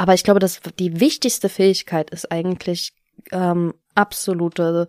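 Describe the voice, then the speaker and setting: Dry and close with no echo, the very clean recording has a silent background. A woman with a fairly low pitch speaks at a fairly slow pace in a plain, everyday voice, her intonation fairly even. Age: 20s. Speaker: author and former party official. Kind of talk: interview.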